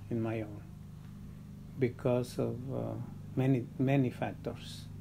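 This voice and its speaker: With a Spanish accent, a man talks at a very slow pace. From Mexico. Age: old. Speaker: grandfather interviewed for documentary. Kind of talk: interview testimony. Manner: halting, with repetitions and fillers.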